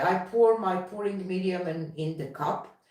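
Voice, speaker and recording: She has a non-native accent. This woman talks at a fairly slow pace. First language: not English. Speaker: fluid artist. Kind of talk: live stream chat. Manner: halting.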